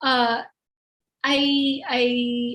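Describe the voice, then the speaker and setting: A woman speaks in a high pitch. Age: 40s. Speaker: university lecturer. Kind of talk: webinar Q&A. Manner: halting.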